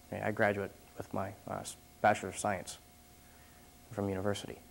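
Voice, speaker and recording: A man's fairly low voice with vocal fry, a monotone, flat intonation and a very fast pace. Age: 20s. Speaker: mason. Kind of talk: interview testimony.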